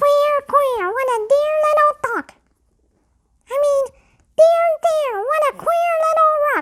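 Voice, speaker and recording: A put-on character voice, squeaky and extremely high, moves at a fairly slow pace with long, frequent pauses. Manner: comically muddled, mixing up words.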